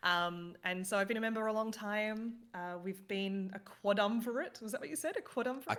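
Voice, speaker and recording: A woman's fairly high voice at a fairly quick pace, with ordinary pitch variation and hardly any pauses. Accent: Australian. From Australia. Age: 30s. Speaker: gaming team manager. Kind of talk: casual chat.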